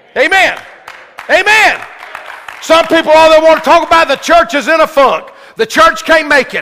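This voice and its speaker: Crowd noise fills the background as a man with an extremely high pitch speaks in an animated tone with a raised, projected voice and long, frequent pauses. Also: ordinary pitch variation, moderate pace. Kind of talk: sermon to a live congregation. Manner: call-and-response, urging the crowd to say amen; animated, fervent pulpit delivery with rhetorical questions.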